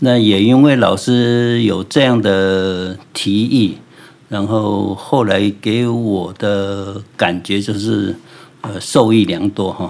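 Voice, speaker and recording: Very slow speech in a Taiwanese accent, with fairly even intonation. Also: man, fairly low pitch for a man. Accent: Taiwanese Mandarin. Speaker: ceramic artist. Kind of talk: interview. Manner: hesitant, many fillers.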